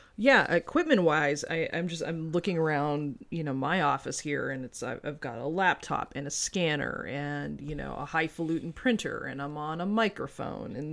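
A woman with a plain, everyday voice, fairly low in pitch, with ordinary pitch variation and a moderate pace. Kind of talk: casual chat.

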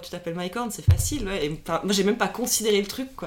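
Noticeable background noise accompanies a woman talking fairly quickly. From Switzerland, Lausanne region (Vaud). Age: 30s. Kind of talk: casual interview. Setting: recorded over a few beers.

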